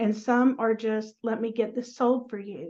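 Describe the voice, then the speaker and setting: In a Southern US accent, a woman speaks at a moderate pace with a fairly high pitch and a dark, mellow tone. Her intonation stays monotone and flat. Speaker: dental practice transition advisor. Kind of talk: interview.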